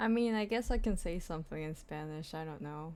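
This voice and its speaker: Her pitch moves in an ordinary way. This woman keeps a moderate pace. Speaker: streamer. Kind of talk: casual chat.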